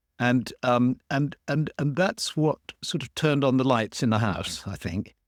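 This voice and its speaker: In a London accent, a man at a medium pitch is heard on a very clean recording with a silent background and a dry, close sound with no echo. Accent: southern English (London). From London, England. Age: 70s. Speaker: author and druid teacher. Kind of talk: interview conversation. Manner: halting, many fillers and repetitions.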